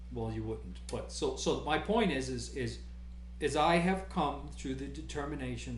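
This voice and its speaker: Over noticeable background noise and audible room echo, a man is speaking. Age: 60s. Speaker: guitar amp builder. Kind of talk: casual chat. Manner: halting.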